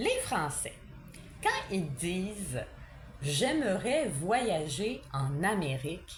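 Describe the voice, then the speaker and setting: With a Quebec accent, a woman speaks at a very slow pace and medium pitch, her voice swinging very widely in pitch between long, frequent pauses. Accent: Québécois French. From Quebec, Canada. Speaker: French teacher. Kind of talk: casual talk to camera, language lesson. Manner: mock-angry ranting, humorous.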